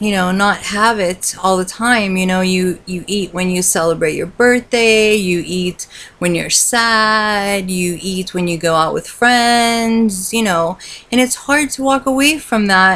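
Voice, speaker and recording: Her pace fairly slow, a woman speaks at medium pitch with ordinary pitch variation. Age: 40s. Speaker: vlogger. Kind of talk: personal video diary. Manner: hesitant, many fillers.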